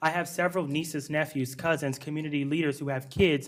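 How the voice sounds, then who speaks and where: A man with a fairly high pitch speaks at a fairly quick pace, his intonation fairly even. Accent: American. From US Midwest, Dubuque Iowa. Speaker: school board candidate. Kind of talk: candidate forum debate answer.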